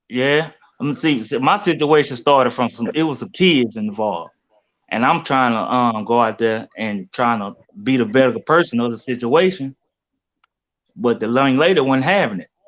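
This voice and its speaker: Speaking with an American accent, a man uses lively intonation at a medium pitch and a moderate pace. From Louisiana, Shreveport. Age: 30s. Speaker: caller. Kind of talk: casual chat.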